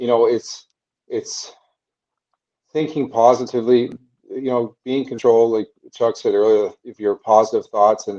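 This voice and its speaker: Mumbling in a Canadian accent, a man of medium pitch has a dark, mellow tone and fairly even intonation. Long, frequent pauses break up his speech. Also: moderate pace, dry, close sound with no echo. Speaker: former hockey player. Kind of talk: interview.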